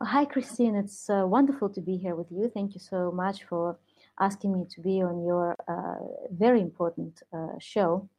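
A woman's voice with big swings in loudness and ordinary pitch variation. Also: medium pitch for a woman, moderate pace. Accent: Russian. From Soviet Union. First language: Russian. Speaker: entrepreneur and author. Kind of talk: interview. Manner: hesitant, many fillers.

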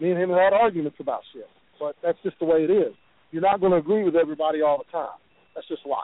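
With an Appalachian accent, a man talks at a very fast pace in a high voice. His intonation is fairly even, though his loudness swings a lot. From West Virginia. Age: 40s. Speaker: professional wrestler. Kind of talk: phone interview.

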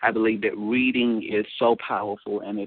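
This man has a plain, everyday voice at a medium pitch. He talks at a fairly slow pace. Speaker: empowerment speaker and radio host. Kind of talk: motivational talk show monologue. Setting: online radio show.

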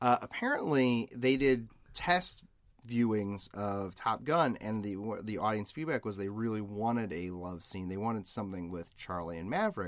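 Lively intonation colors the fairly low-pitched voice of this man. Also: moderate pace, very clean recording, silent background. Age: 30s. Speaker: podcast co-host. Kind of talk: casual chat. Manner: animated.

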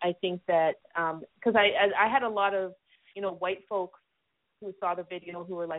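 A woman with an ordinary speaking voice, medium in pitch, at a moderate pace. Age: 40s. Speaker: author and music critic. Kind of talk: interview.

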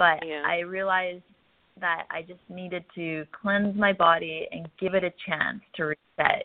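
Speaking with a Canadian accent, a woman goes at a fairly slow pace with a fairly low pitch. Her intonation is monotone and flat, with big swings in loudness. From central Canada. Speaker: wellness influencer. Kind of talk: interview conversation.

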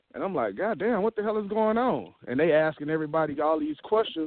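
A man speaks with a Southern US accent. His intonation is lively. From Mississippi. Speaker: caller, refinery worker. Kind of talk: casual chat.

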